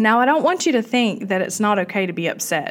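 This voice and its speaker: A woman with a Southern US accent speaks in a warm tone. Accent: Southern US (Georgia). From US South, South Georgia. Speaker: podcast host, cancer survivor. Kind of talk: casual talk to listeners. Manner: warm, conversational with fillers.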